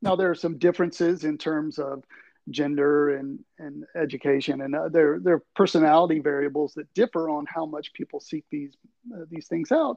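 An ordinary speaking voice from a man with an American accent, fairly high in pitch, with fairly even intonation, big swings in loudness and a moderate pace, in a dry, close sound with no echo. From Tuscaloosa, Alabama, US South. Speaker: communication professor. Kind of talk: interview.

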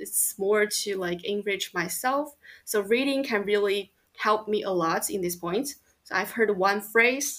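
Speaking with a Chinese accent, a woman talks fairly slowly at a medium pitch with ordinary pitch variation. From China, Chongqing. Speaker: university student. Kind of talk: casual interview.

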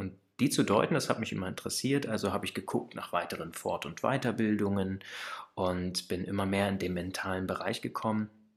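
With a normal speaking voice, a man talks at a fairly low pitch with ordinary pitch variation and a fairly quick pace. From central Germany, Kassel area. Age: 30s. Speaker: relaxation coach, former social worker. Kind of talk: casual interview.

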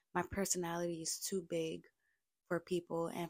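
A woman with an American accent has a fairly low-pitched voice, recorded with a dry, close sound and no echo. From Brooklyn, New York. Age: 20s. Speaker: podcaster. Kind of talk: casual monologue.

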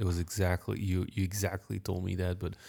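Soft-spoken and very deep in pitch, a man talks at a fairly quick pace in a monotone, flat intonation with a dark, mellow tone on a very clean recording with a silent background. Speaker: podcast co-host and meditation teacher. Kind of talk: casual chat. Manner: soft-spoken, quiet.

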